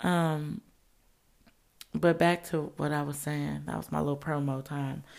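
A woman speaks in a relaxed, dark and mellow tone on a very clean recording with a silent background. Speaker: podcast host. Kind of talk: casual solo podcast monologue. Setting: home recording setup. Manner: smooth, relaxed.

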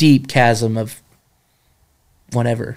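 With an American accent, a man speaks at a fairly slow pace with fairly even intonation. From North Carolina mountains (Jefferson). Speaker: camp staff member. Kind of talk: casual interview testimony.

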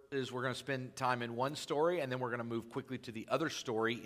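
Read aloud in a natural voice, the text carries fairly even intonation.

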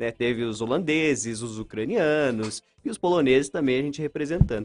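A man with an unremarkable speaking voice talks at medium pitch and a fairly quick pace. His pitch varies in an ordinary way, and the sound is dry and close with no echo. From Paraná, Brazil (São Mateus do Sul). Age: 20s. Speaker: radio host. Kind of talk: live radio interview.

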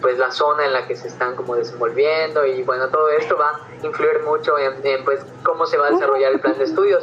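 A man keeps up a fairly quick pace while noticeable noise fills the background. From Yucatán, Mexico. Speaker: marine biology student, science communicator. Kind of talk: casual chat.

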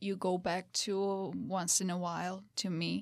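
A woman with a Georgian accent. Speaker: podcast guest. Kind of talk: casual chat.

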